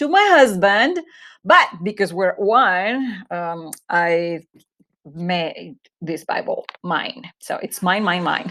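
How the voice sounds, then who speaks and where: Over a silent background in a very clean recording, a woman speaks very slowly with a Spanish accent. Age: 40s. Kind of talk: Bible study talk. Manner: hesitant, many fillers.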